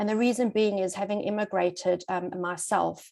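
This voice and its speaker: Her pitch medium and her intonation fairly even, a woman with a South African accent speaks at a moderate pace. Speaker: psychologist and relocation coach. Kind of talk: webinar presentation.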